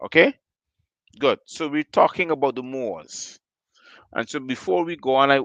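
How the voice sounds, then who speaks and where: Against a quiet background, the talking proceeds at a moderate speed. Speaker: livestream host. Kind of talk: live stream talk. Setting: live stream on several platforms. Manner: loud.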